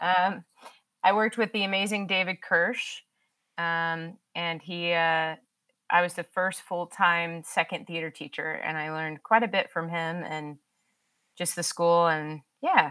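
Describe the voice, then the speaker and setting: With a bright, sharp tone and fairly even intonation, a woman speaks at a fairly low pitch and a fairly slow pace. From Texas, Dallas. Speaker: high school theater teacher. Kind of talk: casual interview.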